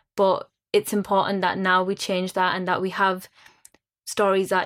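A woman speaks with a West Yorkshire accent. Her pitch is medium. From Bradford, West Yorkshire. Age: young. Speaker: theatre producer. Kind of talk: panel discussion.

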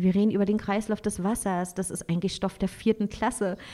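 A woman's medium-pitched voice, dark and mellow in tone, monotone and flat, at a fairly quick pace. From Berlin, Germany. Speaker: traveling mother, van-life family. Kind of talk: casual interview.

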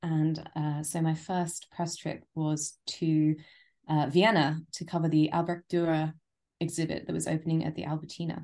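Against a quiet background, a woman with a London accent speaks at a very deep, low pitch, with a dark, mellow tone and monotone, flat intonation. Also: moderate pace. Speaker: travel writer. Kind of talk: casual chat.

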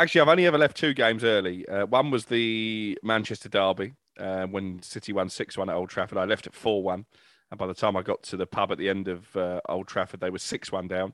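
Very fast speech from a man with a fairly low pitch and ordinary pitch variation. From Salford, northern England. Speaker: football journalist. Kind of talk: casual chat.

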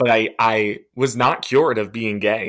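An unremarkable speaking voice with an American accent uses ordinary pitch variation. The recording is very clean, with a silent background. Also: man. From New Jersey. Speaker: church abuse survivor. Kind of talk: testimony.

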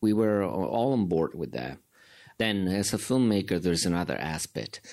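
A man's very deep, low voice with an Italian accent. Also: very clean recording, silent background. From Italy. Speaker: documentary filmmaker. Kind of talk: filmmaker Q and A.

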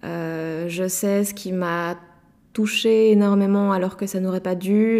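A woman speaks at a medium pitch in a dark, mellow tone. Her intonation stays flat and monotone. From Belgium, Liège province. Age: 20s. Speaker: interviewee. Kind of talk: personal testimony. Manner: halting, many repetitions and fillers.

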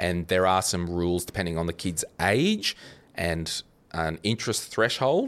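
On a very clean recording with a silent background, a man with an Australian accent speaks at a fairly slow pace, his very deep, low voice carrying fairly even intonation. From Australia, New South Wales Central Coast. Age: 30s. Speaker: finance podcaster. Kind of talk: casual chat.

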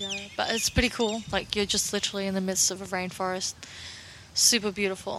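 With noticeable background noise behind her, a woman speaks fairly quickly. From Russia. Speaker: podcast co-host. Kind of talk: casual chat.

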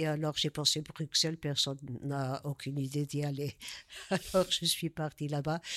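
In a very clean recording with a silent background, a woman with a very deep, low pitch talks at a moderate pace in a monotone, flat intonation. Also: dry, close sound with no echo. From Portugal. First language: Portuguese (speaking French). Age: 70s. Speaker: artist. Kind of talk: interview. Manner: halting.

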